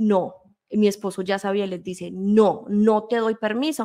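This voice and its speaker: A woman talks fairly slowly. Behind her, the background is quiet. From Colombia and Spain. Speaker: guest. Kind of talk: testimony. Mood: earnest, storytelling. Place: home room. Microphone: studio mic.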